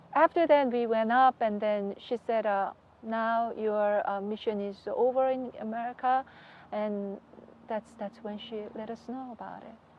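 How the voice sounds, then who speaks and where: With a Korean accent, a woman speaks at a fairly slow pace and fairly high pitch. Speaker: religious leader's wife. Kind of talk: interview. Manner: halting.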